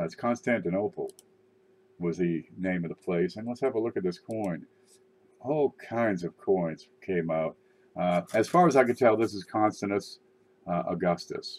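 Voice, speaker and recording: A man speaks at a moderate pace with ordinary pitch variation in a plain, everyday voice. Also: fairly low pitch for a man. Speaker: coin collecting livestreamer. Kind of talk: casual live stream commentary. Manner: casual, rambling with fillers.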